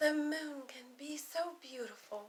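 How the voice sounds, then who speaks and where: A woman's put-on character voice, high in pitch, at a fairly slow pace. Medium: read story.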